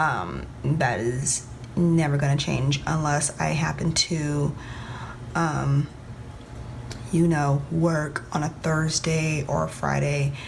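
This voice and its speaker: A woman speaks very slowly and quietly at a very deep, low pitch, her loudness very even and her intonation fairly even, with long, frequent pauses. Noticeable background noise and audible room echo fill the recording. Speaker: planner vlogger. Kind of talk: casual vlog tutorial. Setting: at home, early morning. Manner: talking low, quiet; hesitant with many ums.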